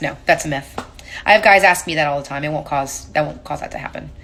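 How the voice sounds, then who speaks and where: A woman speaks in a bright, sharp tone. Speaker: paint company tech presenter. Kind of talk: live stream tech Q&A. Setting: live stream. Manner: fast; casual.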